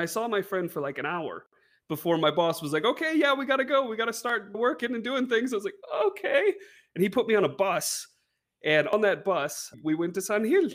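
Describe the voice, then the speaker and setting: The speaker, with an American accent, moves at a fairly quick pace with very wide pitch swings. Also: man, high pitch for a man. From US Pacific Northwest, rural Washington State. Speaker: English teacher. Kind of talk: casual interview chat. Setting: video call. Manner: clear, precise enunciation.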